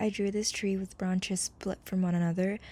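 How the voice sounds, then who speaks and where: In a dark, mellow, somewhat breathy voice of medium pitch, a woman speaks at a moderate pace with monotone, flat intonation. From Hong Kong. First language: Cantonese. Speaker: content creator. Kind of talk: personal reflection narration.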